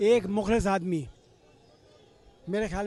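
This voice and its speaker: A man's high voice comes through noticeable background noise. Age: 70s. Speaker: retired air force veteran. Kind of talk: street interview. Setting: outdoors at beach rally.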